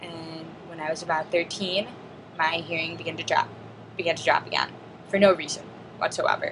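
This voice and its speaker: A woman talks at a fairly quick pace and a fairly low pitch in a monotone, flat intonation, with big swings in loudness, long, frequent pauses and noticeable background noise. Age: 20s. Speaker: deaf student vlogger. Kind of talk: personal video diary monologue.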